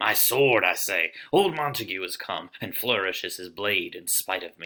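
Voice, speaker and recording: The voice is a low-pitched, put-on character voice. It moves at a moderate pace. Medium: read story.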